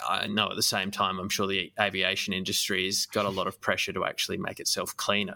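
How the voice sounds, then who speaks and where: With an Australian accent, a man speaks at a fairly quick pace in a bright, sharp tone. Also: dry, close sound with no echo. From Australia, Adelaide. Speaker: podcast host. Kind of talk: casual chat.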